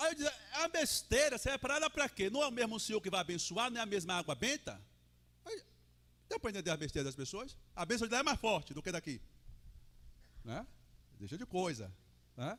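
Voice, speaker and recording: Loud and animated, a man talks fairly quickly in a bright, sharp, high voice with very wide pitch swings. Long pauses come often. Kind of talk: sermon. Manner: conversational, animated.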